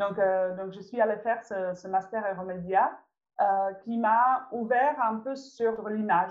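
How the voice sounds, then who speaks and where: With a Czech accent, a woman talks very slowly in a fairly high pitch and fairly even intonation. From Czech Republic. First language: Czech (speaking French). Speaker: visual artist and children's workshop leader. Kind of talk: interview. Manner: halting, frequent repetitions.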